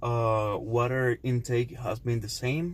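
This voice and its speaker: A man with a Cuban accent speaks at a medium pitch. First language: Spanish. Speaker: fitness vlogger. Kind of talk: casual vlog talk to camera. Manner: halting, many fillers.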